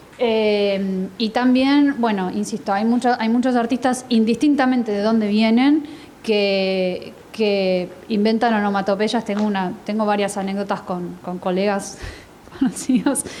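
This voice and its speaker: Fairly slow speech from a woman, ordinary pitch variation, noticeable background noise behind her. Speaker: translator and panelist. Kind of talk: panel discussion.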